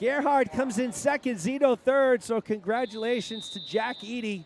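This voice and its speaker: Fairly slow delivery comes with ordinary pitch variation. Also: man. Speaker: swim meet announcer. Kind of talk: live commentary. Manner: animated.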